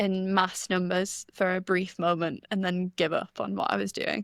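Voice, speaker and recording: With a slight North East English accent, a woman talks at a medium pitch and a moderate pace. Her intonation is fairly even, and the sound is dry and close with no echo. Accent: slight North East English, mainly in vowels. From North East England, Stockton-on-Tees. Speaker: music journalist and writer. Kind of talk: casual chat.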